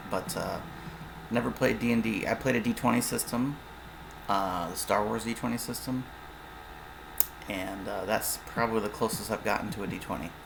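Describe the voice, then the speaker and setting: Long, frequent pauses break up speech at a moderate pace with ordinary pitch variation against noticeable background noise. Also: man, medium pitch for a man. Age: 40s. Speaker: tabletop game designer and YouTuber. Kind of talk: casual monologue. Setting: livestream. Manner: casual, halting with fillers.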